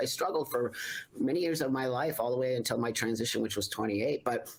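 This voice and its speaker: With an American accent, the speaker talks at a fairly quick pace over noticeable background noise. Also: man. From US West Coast, Los Angeles San Fernando Valley. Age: 60s. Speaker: public speaker and entrepreneur. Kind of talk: interview chat.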